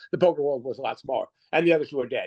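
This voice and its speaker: In a dry, close sound with no echo, a dark, mellow voice races along at a very fast pace with ordinary pitch variation. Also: man. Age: 60s. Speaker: professional poker player. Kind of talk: interview storytelling. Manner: halting.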